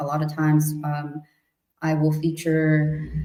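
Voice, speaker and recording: A woman with a Spanish accent, very deep and low in pitch, speaking very slowly amid audible room echo. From US-Mexico border region. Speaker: multidisciplinary artist. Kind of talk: casual chat. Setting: live stream.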